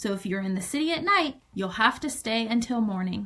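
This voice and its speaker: A woman's put-on character voice at a fairly quick pace with fairly high pitch. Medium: read story.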